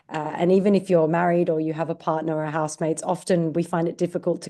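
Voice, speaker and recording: At a fairly quick pace, a woman with an Australian accent speaks in a fairly low, dark, mellow voice with monotone, flat intonation. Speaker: digital marketing director. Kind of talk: podcast interview.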